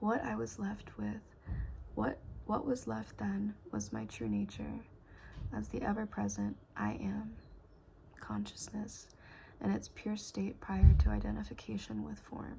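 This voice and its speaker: Soft-spoken, the speaker goes at a fairly slow pace with long, frequent pauses. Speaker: ASMR content creator. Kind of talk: soft-spoken ASMR book reading. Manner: soft-spoken, quiet, slow.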